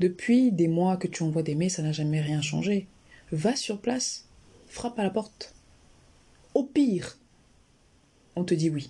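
A somewhat breathy, dark, mellow voice at a fairly slow pace, with lively intonation and long, frequent pauses. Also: woman, medium pitch for a woman. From Cameroon, Yaoundé. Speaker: general practitioner and health YouTuber. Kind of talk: interview conversation.

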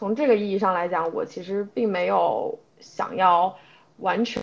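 A woman is speaking. Her voice has vocal fry. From China, Ningbo. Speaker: podcast co-host, product analyst. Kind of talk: casual chat.

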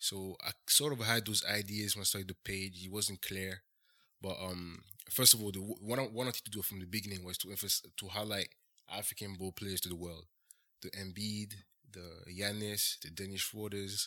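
A man speaks at a moderate pace with a French accent, his pitch fairly low and his intonation fairly even. His tone is bright and sharp, and the recording is very clean with a silent background. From France. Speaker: doctoral-level medical engineer and content creator. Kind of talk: casual interview.

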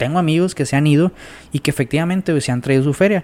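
The man's fairly high pitch shows ordinary variation. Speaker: podcast guest. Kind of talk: casual chat.

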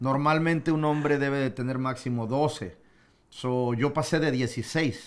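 In an ordinary speaking voice, a man talks at medium pitch with fairly even intonation. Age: 40s. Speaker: radio broadcaster. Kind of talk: casual chat.

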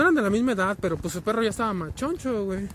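There is noticeable background noise as a man speaks. His pitch is high, with ordinary variation. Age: 20s. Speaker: vlogger. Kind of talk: casual monologue while walking. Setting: outdoors, walking.

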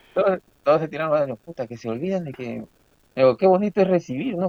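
A man's lively intonation at a fairly quick pace. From Peru, Chimbote. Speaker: labor and tax lawyer. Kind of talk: casual chat. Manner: halting, repeats words.

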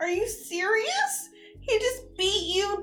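In a put-on character voice, the speaker sounds whiny and goes at a very slow pace. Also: woman. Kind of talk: comic overacting. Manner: whiny, petulant.

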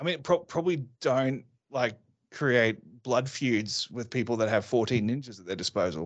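With an Australian accent and lively intonation, a man speaks at a moderate pace and medium pitch over a quiet background. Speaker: martial arts instructor and safety consultant. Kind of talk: casual chat.

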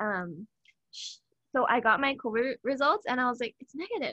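A woman talks at a fairly quick pace in a raised, projected voice with a high pitch. Her tone is bright and sharp, and the sound is dry and close with no echo. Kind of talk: casual chat. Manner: fast, filler-heavy.

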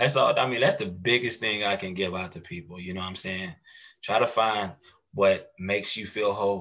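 At a moderate pace, a man uses an ordinary speaking voice, fairly low in pitch with ordinary pitch variation. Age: 30s. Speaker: mental health podcast host and advocate. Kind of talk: casual interview chat.

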